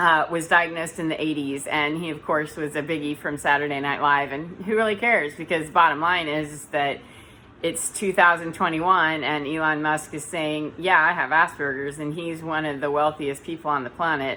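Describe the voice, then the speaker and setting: The voice is loud, with a bright, sharp tone, fairly even intonation and a moderate pace. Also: woman, very deep, low pitch for a woman. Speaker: spiritual vlogger, energy healer. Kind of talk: casual vlog monologue. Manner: sometimes flat, robotic intonation.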